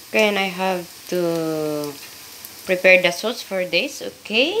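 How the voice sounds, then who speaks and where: A woman at medium pitch speaking very slowly, with noticeable background noise. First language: Filipino. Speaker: domestic worker cooking vlogger. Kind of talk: cooking tutorial. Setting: kitchen. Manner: halting.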